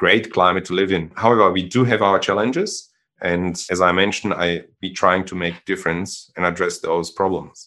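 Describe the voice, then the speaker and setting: A man speaks in a German accent with a very deep, low pitch. The background is quiet. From Germany. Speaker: social entrepreneur. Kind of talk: interview.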